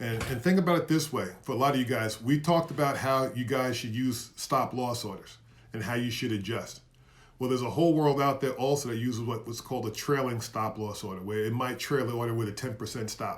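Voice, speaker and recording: A man's somewhat breathy voice at a medium pitch, fairly quick in pace, with ordinary pitch variation. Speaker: investing educator. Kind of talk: live stream lecture. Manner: fast; animated.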